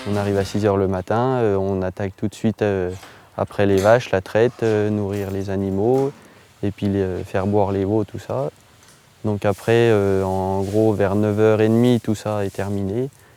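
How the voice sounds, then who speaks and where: In a dry, close sound with no echo, a man speaks with a dark, mellow tone, fairly low pitch and monotone, flat intonation. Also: moderate pace. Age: 20s. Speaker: dairy farmer. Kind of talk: interview testimony. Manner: hesitant, many fillers.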